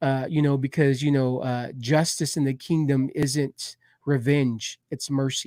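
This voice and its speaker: Speaking with monotone, flat intonation, a man has a fairly high pitch and a fairly slow pace. The sound is dry and close with no echo. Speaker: church family ministry co-host. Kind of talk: casual chat. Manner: loud.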